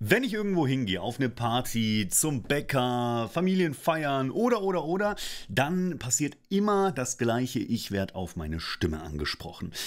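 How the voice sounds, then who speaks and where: A man speaks at a moderate pace, his pitch swinging very widely. He hardly pauses, and the background is quiet. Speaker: voice actor and coach; coach. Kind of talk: casual vlog monologue. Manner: animated. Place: studio. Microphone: studio mic.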